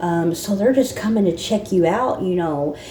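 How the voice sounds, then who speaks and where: Audible room echo and noticeable background noise surround a woman's voice. Her pitch is fairly low and varies in an ordinary way. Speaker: spiritual channel host. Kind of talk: casual spiritual monologue. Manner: halting.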